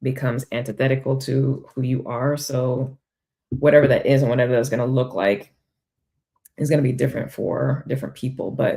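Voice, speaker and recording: A woman's very deep, low, somewhat breathy voice, dark and mellow in tone, fairly quick and monotone with flat intonation. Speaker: spiritual life coach and tarot reader. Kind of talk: tarot reading monologue. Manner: many filler ums, loose thinking aloud.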